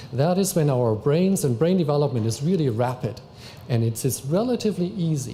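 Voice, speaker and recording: Somewhat breathy and fairly high in pitch, a man with a non-native accent speaks in a dark, mellow tone with lively intonation. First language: not English. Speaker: family services worker. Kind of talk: public talk.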